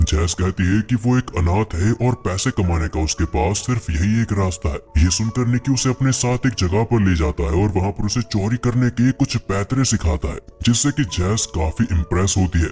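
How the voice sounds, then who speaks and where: A man with a fairly low pitch and lively intonation talks at a moderate pace, with hardly any pauses and very even loudness. The sound is dry and close with no echo, though clear background noise is present. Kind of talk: movie recap voice-over. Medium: solo performance. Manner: conversational.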